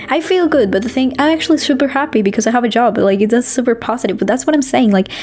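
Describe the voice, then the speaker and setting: A woman with a non-native accent talks at a very fast pace and a high pitch, with ordinary pitch variation. Her loudness is very even, and there is noticeable background noise. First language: not English. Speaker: vlogger. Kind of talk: casual chat. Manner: halting.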